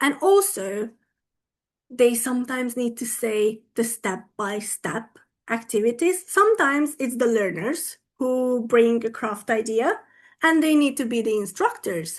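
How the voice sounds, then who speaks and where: Her voice is high, and she speaks fairly slowly with lively intonation and a Hungarian accent. The woman's background is quiet. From Hungary. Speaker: English teacher and teacher trainer. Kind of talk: conference talk. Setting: online video conference. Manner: animated.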